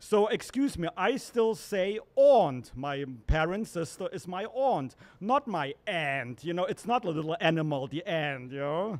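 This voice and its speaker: A man with a high-pitched voice speaks at a fairly slow pace, his pitch swinging very widely. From Germany. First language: German. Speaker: open mic comedian, venue staff member. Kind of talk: stand-up. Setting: stage with audience.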